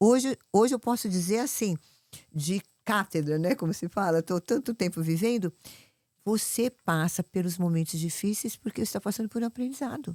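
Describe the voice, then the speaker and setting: Recorded very cleanly with a silent background and a dry, close sound with no echo, a woman speaks at a medium pitch with a dark, mellow tone and lively intonation. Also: moderate pace. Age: 70s. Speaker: fitness influencer. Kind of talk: casual chat. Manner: animated.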